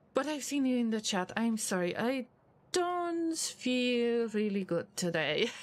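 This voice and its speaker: Speaking at a fairly slow pace with a non-native accent, a woman uses a high pitch with very wide pitch swings and very even loudness. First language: not English. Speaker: video game streamer. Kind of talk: live gameplay stream with chat.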